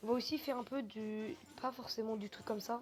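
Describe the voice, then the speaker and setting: Against noticeable background noise, a woman talks with fairly even intonation. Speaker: gaming youtuber. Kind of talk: gameplay commentary. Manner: fast; hesitant, many fillers.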